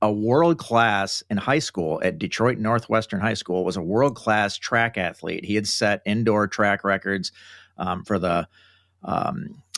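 An ordinary speaking voice moves at a moderate pace. The sound is dry, with no echo. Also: man, quiet background. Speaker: guest. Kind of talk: interview answer. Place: home room.

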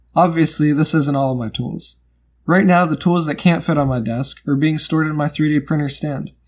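Male voice, fairly quick pace, fairly even intonation. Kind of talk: tutorial. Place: home room. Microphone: phone near.

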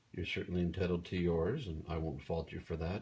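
A man's very deep, low voice, somewhat breathy. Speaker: livestreamer. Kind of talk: casual vlog chat. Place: home room. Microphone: phone near.

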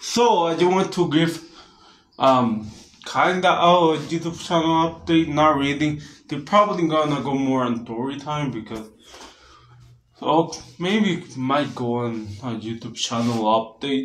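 A man talks at a fairly slow pace, and audible room echo surrounds his voice. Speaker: vlogger. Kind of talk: casual vlog chat. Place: home room. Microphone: phone near.

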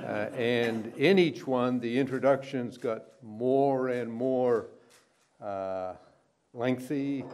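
A man speaks at a very slow pace with ordinary pitch variation over light background noise. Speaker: speaker. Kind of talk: formal speech with anecdote. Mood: humorous storytelling. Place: hall.

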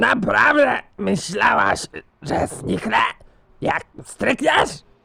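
A man puts on a raspy character voice pitched high. He drags every word out at a very slow pace. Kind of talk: shouting army sergeant. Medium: comedy sketch. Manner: barking, scolding, military.

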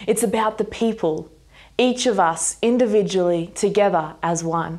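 The woman keeps a moderate pace, her pitch varying an ordinary amount. Little sound comes from the background. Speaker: speaker. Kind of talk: sermon. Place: home room.

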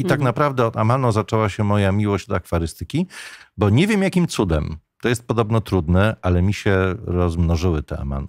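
A fairly low-pitched man talking at a fairly quick pace, dry sound with no echo, quiet background. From Poland. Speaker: radio journalist, voice actor. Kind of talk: podcast interview answer. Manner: casual, anecdotal. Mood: relaxed, smiling storytelling. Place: studio. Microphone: studio mic.

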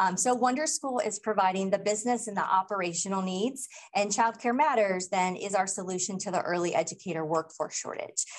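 With an American accent, a woman talks at a fairly quick pace with ordinary pitch variation and hardly any pauses. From US Midwest. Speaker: early childhood program director; presenter. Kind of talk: conference presentation. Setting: stage with audience. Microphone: video call.

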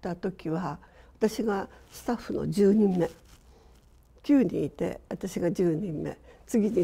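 This voice has a dark, mellow tone, ordinary pitch variation and vocal fry. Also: woman. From Shizuoka, Japan. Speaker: architect. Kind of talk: reminiscence in panel discussion. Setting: online panel discussion.

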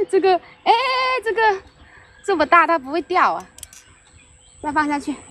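A woman with an extremely high pitch speaks at a moderate pace, leaving long, frequent pauses. Her pitch varies in an ordinary way, and background noise is noticeable. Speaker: fishing livestreamer. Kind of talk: casual live-stream chat while fishing. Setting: outdoors by a river, live stream. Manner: chatty, laughs often.

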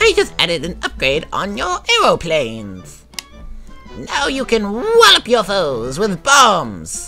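Someone performs a put-on character voice with clear music playing in the background. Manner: cheerful, playful.

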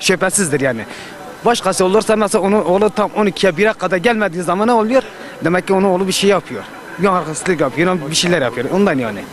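Light background noise sits under a man's dry, echo-free voice, which is high-pitched, very even in loudness and very fast. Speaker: passerby. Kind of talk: street interview. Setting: outdoors. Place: street. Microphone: handheld.

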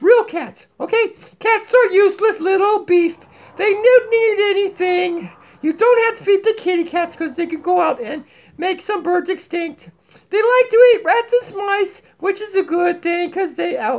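A man's cartoonish character voice at an extremely high pitch. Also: moderate pace. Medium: puppet. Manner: goofy, zany.

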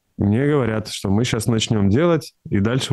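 A man's fairly low voice at a moderate pace against a quiet background. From Russia, Tyumen; Russia. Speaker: composer; interviewee. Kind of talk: interview. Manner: halting, with many fillers. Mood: calm, thoughtful. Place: office. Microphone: studio mic.

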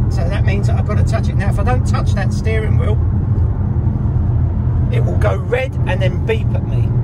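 A fairly quick pace amid loud background noise. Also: man. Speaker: car reviewer. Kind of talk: tutorial commentary while driving. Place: car. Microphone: phone near.

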